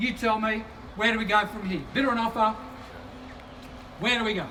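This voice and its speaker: Over noticeable background noise, a man with a high-pitched, raised and projected voice speaks at a fairly quick pace with fairly even intonation. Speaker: real estate auctioneer. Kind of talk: property auction patter.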